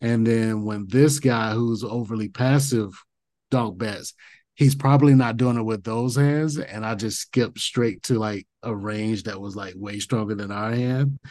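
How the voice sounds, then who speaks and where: At a fairly slow pace, a dark, mellow tone with fairly even intonation shows big swings in loudness against a quiet background. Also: man, medium pitch for a man. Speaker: podcast co-host and poker coach. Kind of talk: interview and strategy discussion.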